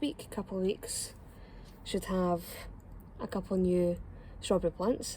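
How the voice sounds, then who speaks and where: A woman's medium-pitched, somewhat breathy voice in a Scottish accent, dark and mellow in tone, with fairly even intonation. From Scotland. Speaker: home gardener. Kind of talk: casual gardening tutorial to camera.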